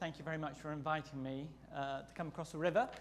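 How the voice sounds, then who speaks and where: There is audible room echo as a man with an English accent speaks at a fairly high pitch. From England. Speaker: seminary president and priest. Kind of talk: lecture.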